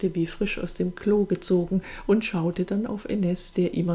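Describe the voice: Fairly even intonation in plain reading aloud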